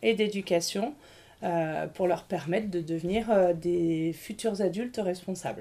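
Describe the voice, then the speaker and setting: With an ordinary speaking voice, a woman speaks at a fairly slow pace, her medium pitch showing ordinary variation. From Grenoble, France. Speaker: school nurse. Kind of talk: interview.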